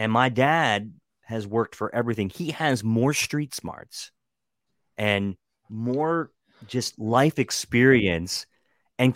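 A man's medium-pitched voice with an American accent, ordinary pitch variation and a plain, everyday voice, on a very clean recording with a silent background and a dry, close sound with no echo. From Western Maryland. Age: 30s. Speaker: political blogger and podcaster. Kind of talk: casual chat.

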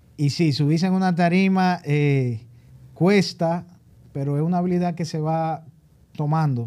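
A man speaks at a fairly slow pace in a fairly high pitch, his dark, mellow tone carrying fairly even intonation broken by long, frequent pauses. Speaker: stand-up comedian. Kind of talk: casual chat.

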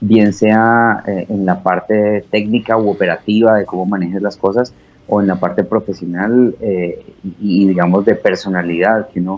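In monotone, flat intonation, a man speaks at a moderate pace with a fairly low pitch. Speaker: radio host and station director. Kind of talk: casual interview chat. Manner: fluent.

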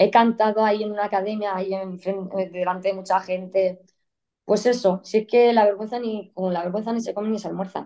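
Fairly quick speech comes from a woman with a medium pitch and a dark, mellow tone. Her intonation is monotone and flat. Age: 30s. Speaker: guest sharing life story of living with degenerative disease. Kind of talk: interview testimony.

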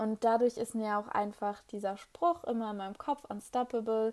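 At a moderate pace, a woman with a fairly high pitch speaks in a flat monotone on a very clean recording with a silent background. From Germany, Hannover. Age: 20s. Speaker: podcast host, network marketing entrepreneur. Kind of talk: solo monologue, personal story. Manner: frequent filler hesitations.

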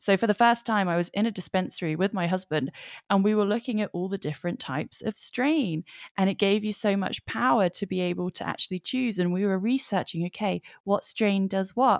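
At a fairly quick pace, a woman speaks at medium pitch with ordinary pitch variation in a dry, close sound with no echo. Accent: English. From England. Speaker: podcast host, spiritual coach and author. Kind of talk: interview conversation. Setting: video call.

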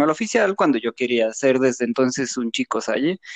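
A man speaks at a moderate pace with very wide pitch swings, the sound dry and close with no echo. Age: 30s. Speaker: podcast guest, designer. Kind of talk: casual chat. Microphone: cutting out, too far from mic.

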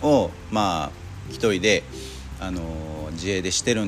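A man speaks with lively intonation and a fairly low pitch. Background noise is noticeable. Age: 40s. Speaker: car detailing shop owner, podcaster. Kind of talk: casual monologue. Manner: halting, many fillers.

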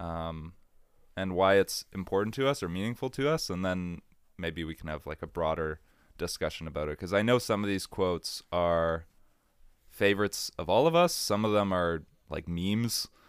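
A man with a very deep, low pitch talks at moderate speed and with ordinary pitch movement, captured in a very clean recording against total silence. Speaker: podcast host. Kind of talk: casual chat.

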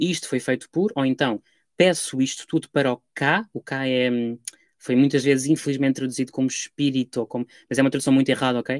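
Recorded dry and close with no echo in a very clean recording with a silent background, a man with a European Portuguese accent talks at a fairly quick pace and a medium pitch. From Portugal. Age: 20s. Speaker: Egyptologist, doctoral researcher. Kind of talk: academic interview. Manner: hesitant, many fillers.

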